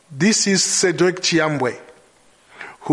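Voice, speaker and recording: A man speaking at a very slow pace. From DR Congo, Kinshasa. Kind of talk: scripted narration.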